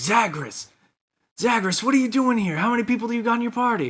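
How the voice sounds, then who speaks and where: A man puts on a character voice at an extremely high pitch. He talks at a very fast pace. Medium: actual play. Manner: loud, showy.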